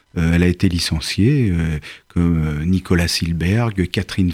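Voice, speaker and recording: Speaking at a very slow pace, a man with a very deep, low pitch and ordinary pitch variation is heard in a very clean recording with a silent background. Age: 50s. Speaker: actor. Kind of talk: interview.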